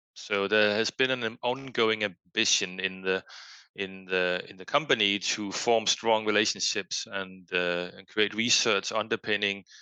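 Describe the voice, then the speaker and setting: This man talks at a moderate pace in a fairly low pitch, with flat, monotone intonation. He has a Danish accent, and the background is quiet. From Denmark. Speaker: foundation executive and researcher. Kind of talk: podcast interview. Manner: hesitant, many fillers.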